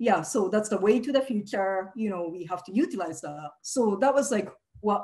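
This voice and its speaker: Her tone dark and mellow, a woman speaks at a moderate pace with big swings in loudness over a quiet background. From Japan (Nagasaki, Hiroshima); Japan. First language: Japanese. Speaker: activist; speaker. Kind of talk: presentation. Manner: halting, many fillers. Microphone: video call.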